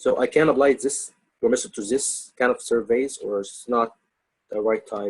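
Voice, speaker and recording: A man speaks at a moderate pace. He has a slight non-native accent. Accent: slight foreign. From outside the US. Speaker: webinar participant asking questions. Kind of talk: question and answer webinar. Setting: video call with screen share. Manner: halting. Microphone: poor voice quality.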